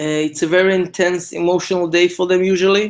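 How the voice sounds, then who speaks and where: A man with an Israeli accent speaks at a high pitch and moderate pace, his intonation monotone and flat. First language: Hebrew. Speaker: event organizer, co-founder of a commemoration project. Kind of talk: instructional briefing. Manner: halting, many fillers.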